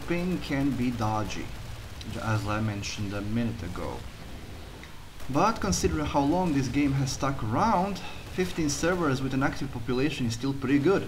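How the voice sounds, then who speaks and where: A fairly high male voice with a strong Croatian accent and very wide pitch swings. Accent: heavy Croatian. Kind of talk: gameplay commentary voiceover.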